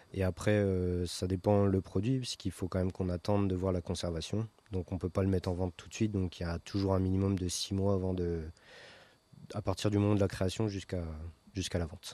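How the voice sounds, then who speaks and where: Very fast, with long, frequent pauses, a man speaks in a very deep, low voice with a dark, mellow tone. His intonation is monotone and flat, and the sound is dry and close with no echo over a quiet background. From Picardy coast, northern France. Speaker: chocolatier. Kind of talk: interview. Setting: chocolate shop. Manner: halting.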